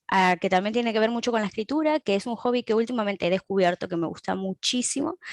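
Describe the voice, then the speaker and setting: A woman's fairly high voice with an Argentine accent and ordinary pitch variation at a fairly quick pace, dry and close with no echo, on a very clean recording with a silent background. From Argentina, Balcarce. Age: 20s. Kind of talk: interview.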